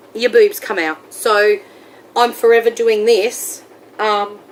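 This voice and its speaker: Against noticeable background noise, a woman with an Australian accent speaks at a fairly high pitch. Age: 30s. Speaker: weight-loss surgery vlogger. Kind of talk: casual vlog monologue.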